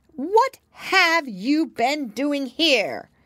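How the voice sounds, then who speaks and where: A loud, shrill, female-sounding put-on character voice shouts at a high pitch. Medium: read story. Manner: imperious, shouting.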